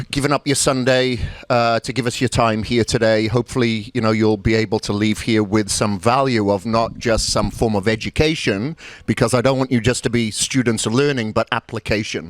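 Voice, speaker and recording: Speaking at a moderate pace, a man uses a medium pitch, ordinary pitch variation and a Welsh accent. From Wales. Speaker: bodybuilding coach and seminar speaker. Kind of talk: motivational seminar talk. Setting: seminar room with live audience.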